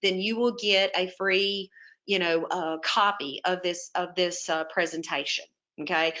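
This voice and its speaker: Speaking at a fairly slow pace in a Southern US accent, a woman uses a medium pitch and fairly even intonation. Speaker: webinar presenter on home health therapy. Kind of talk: webinar presentation. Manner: casual, with many fillers.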